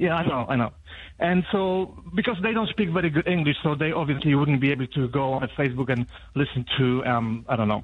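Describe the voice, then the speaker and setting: A man with a Polish accent talks at a fairly quick pace in a fairly high pitch, his intonation lively and his loudness very even. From Poland. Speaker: radio caller. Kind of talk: radio phone-in call. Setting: phone call. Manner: halting, many fillers.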